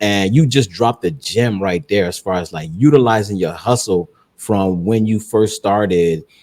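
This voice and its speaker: An animated man with an American accent speaks at a fairly low pitch and a moderate pace, with ordinary pitch variation. The recording is very clean, with a silent background. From South Florida. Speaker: podcast host. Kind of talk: podcast interview.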